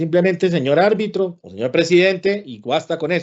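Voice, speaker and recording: A man speaks in a Santander Colombian accent. His pitch is high. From Colombia, Santander. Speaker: lawyer and arbitrator giving a talk. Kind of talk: lecture. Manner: blunt, sometimes heard as scolding.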